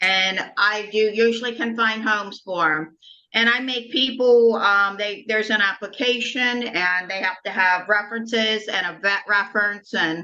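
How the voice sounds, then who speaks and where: A woman talks with hardly any pauses in an American accent, her pitch fairly high. Her intonation stays fairly even, and her tone is bright and sharp. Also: moderate pace. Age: 60s. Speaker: animal rescuer. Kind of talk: casual chat.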